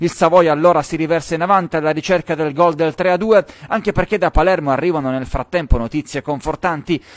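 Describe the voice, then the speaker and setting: Energetic in tone, a man speaks at a fairly quick pace and fairly high pitch with ordinary pitch variation, in a dry, close sound with no echo. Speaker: sports reporter. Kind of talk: sports match report, voiceover over highlights. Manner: fast, energetic play-by-play delivery; animated, building excitement at goals and comebacks.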